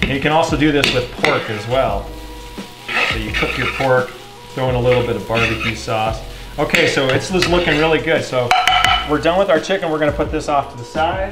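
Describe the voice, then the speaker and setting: Loud background noise around a man's speech, his pitch varying in an ordinary way. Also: fairly quick pace. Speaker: home cook host. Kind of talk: tutorial. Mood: relaxed, friendly. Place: kitchen. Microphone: camera far.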